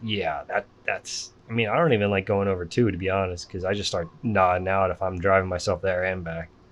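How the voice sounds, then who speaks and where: With a slight central Pennsylvania accent, a man speaks in a very deep, low, monotone, flat voice at a fairly quick pace with hardly any pauses. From Pennsylvania, Lebanon. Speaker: podcast host. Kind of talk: casual chat.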